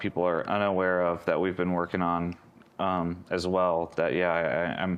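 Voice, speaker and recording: This man's voice sits at a very deep, low pitch. The background is quiet. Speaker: game studio general manager. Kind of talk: casual Q&A livestream. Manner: loud; many fillers and repetitions.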